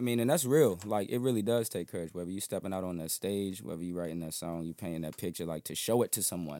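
A man with an American accent speaks at a very fast pace with hardly any pauses, his very deep, low voice dark and mellow in tone, with ordinary pitch variation, on a very clean recording with a silent background. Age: 20s. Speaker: musician. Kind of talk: casual chat. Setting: studio.

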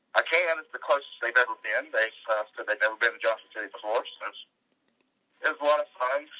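The sound is dry and close, without any echo. A man speaks at a very fast pace. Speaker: podcast co-host. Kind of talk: casual chat. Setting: remote, joins by satellite.

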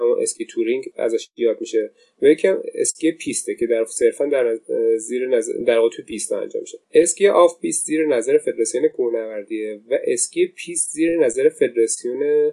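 In a dry, close recording with no echo, a man talks at a fairly quick pace. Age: 40s. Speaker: mountaineering instructor. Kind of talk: interview.

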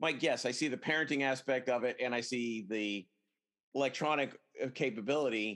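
Here is a man with an ordinary speaking voice. His pitch sits in the medium range with ordinary pitch variation. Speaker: podcast host. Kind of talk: casual chat. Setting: video call.

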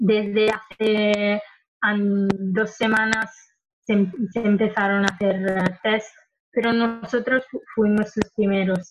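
A somewhat breathy, fairly high-pitched woman's voice at a very slow pace, monotone and flat in intonation. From Italy, Lombardy (Milan). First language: Italian (speaking Spanish). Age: 20s. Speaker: engineering student and activist. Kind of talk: interview. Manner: halting, many fillers.

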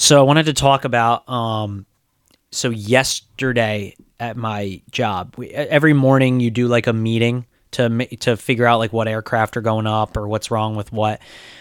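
A man speaks at a moderate pace in a plain, everyday voice with medium pitch and fairly even intonation. The recording is very clean with a silent background and a dry, close sound with no echo. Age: 30s. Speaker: podcast co-host and aircraft mechanic. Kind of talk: casual chat.

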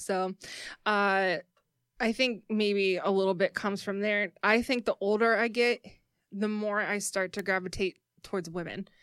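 In a very clean recording with a silent background and a dry, close sound with no echo, a woman speaks at a moderate pace in a medium pitch with monotone, flat intonation. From Louisville, Kentucky. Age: 30s. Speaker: podcast studio co-owner. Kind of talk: casual chat.

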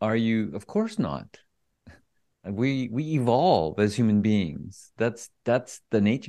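Very slow male speech in a dark, mellow tone with lively intonation. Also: medium pitch for a man. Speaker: speaking coach. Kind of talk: interview conversation.

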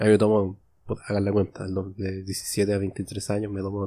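With a dark, mellow tone, a man talks at a moderate pace in flat, monotone intonation. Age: 20s. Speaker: podcaster. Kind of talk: solo monologue podcast. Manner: casual, improvised with frequent repetitions.

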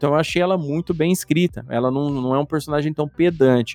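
An unremarkable speaking voice, this man talks at a fairly quick pace with a fairly high pitch and ordinary pitch variation. The sound is dry and close, with no echo. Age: 40s. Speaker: podcast host. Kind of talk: casual chat.

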